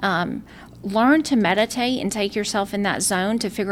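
A woman with a South Carolina accent talks at a medium pitch. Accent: Southern US (South Carolina). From South Carolina, Lowcountry. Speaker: town councilwoman, real estate developer. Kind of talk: interview.

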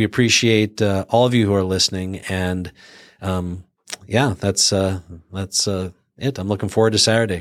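A man talks at a moderate pace in an ordinary speaking voice. His pitch is fairly low. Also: fairly even intonation. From Canada. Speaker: chiropractic clinic owner, health practitioner. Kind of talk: casual chat.

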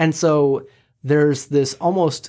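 The recording is very clean, with a silent background. A man with an American accent speaks at a fairly slow pace in a fairly high pitch. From Michigan, US. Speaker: animation studio founder. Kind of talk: interview.

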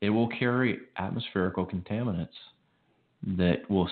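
A man with an American accent has a plain, everyday voice, fairly low in pitch with ordinary pitch variation. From Chicago. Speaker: radio show co-host, prepper. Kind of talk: casual chat. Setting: studio.

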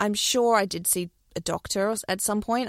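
A woman with an Australian accent in a very clean recording with a silent background. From New Zealand, Christchurch, then Australia from age ten. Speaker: former anti-vaxxer, host's wife. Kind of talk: casual interview.

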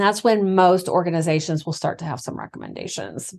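Over a quiet background, a woman with an unremarkable speaking voice talks at a medium pitch with ordinary pitch variation. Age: 40s. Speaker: midwife, podcast co-host. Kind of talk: educational casual chat.

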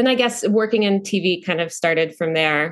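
A woman with an American accent speaks at a medium pitch with ordinary pitch variation. She has a plain, everyday voice, and the background is quiet. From North Carolina, US South. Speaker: actor. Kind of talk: casual interview chat.

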